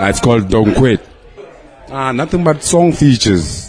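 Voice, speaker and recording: Music can be heard in the background. Over it, a man talks at a moderate pace. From South Africa, Sebokeng. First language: Zulu or Sotho. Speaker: rapper. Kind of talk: interview.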